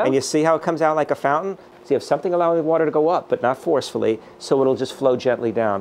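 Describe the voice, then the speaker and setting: Light background noise sits behind a man talking at a very fast pace. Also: ordinary pitch variation, very even loudness. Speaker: doctor. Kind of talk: product demonstration. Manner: casual, enthusiastic. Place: garden.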